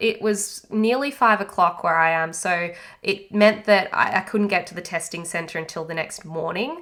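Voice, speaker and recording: Speaking with an Australian accent, a woman uses a bright, sharp tone, lively intonation and medium pitch. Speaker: podcast host and anxiety coach. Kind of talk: podcast monologue. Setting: home isolation. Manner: casual, halting.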